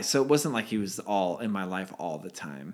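A man with a Californian accent on a very clean recording with a silent background. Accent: General American (Californian). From California, Redwood City. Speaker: podcast co-host. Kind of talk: casual chat.

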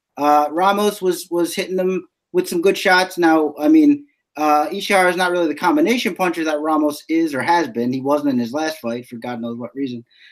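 Fairly high in pitch, this man's voice moves along at a fairly quick pace. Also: ordinary pitch variation. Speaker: fantasy MMA analyst. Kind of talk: casual analysis discussion. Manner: hesitant, many fillers.

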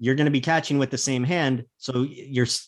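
This is a man's voice with a fairly high pitch. His pitch variation is ordinary. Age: 30s. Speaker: hockey analyst. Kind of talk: casual chat.

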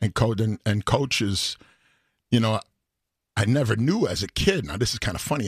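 Somewhat breathy and fairly low, a man's voice carries ordinary pitch variation in a dry, close sound with no echo. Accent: American. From Chicago, South Side. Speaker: singer. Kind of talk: casual chat. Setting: studio.

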